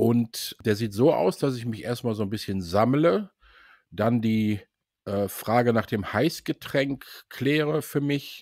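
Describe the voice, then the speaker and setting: The recording is very clean with a silent background, and the sound is dry and close with no echo. A man talks at a very slow pace with medium pitch and ordinary pitch variation. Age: 60s. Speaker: sales employee at a consulting firm. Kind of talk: casual interview.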